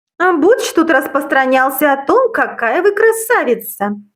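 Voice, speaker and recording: Put-on character voice from a woman, moderately paced, high in pitch, with very wide swings in pitch. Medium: read story. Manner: curt, mocking.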